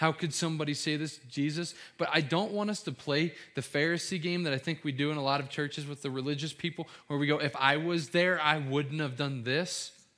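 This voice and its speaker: This man's voice sits at a fairly high pitch with a bright, sharp tone and an American accent, captured in a very clean recording with a silent background. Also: fairly quick pace. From US Midwest, Cincinnati, Ohio. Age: 20s. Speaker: pastor. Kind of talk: sermon. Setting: church. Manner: animated.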